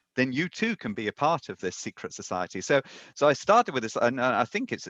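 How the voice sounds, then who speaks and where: A man with a British accent speaks at a fairly quick pace in a dry, close recording with no echo. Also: quiet background. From Britain. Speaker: mathematics professor and author. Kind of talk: podcast interview. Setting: remote interview from home.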